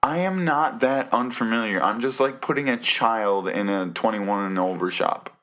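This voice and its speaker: A man's medium-pitched voice with lively intonation, at a moderate pace and with hardly any pauses. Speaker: podcast co-host. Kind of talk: casual chat. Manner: loud.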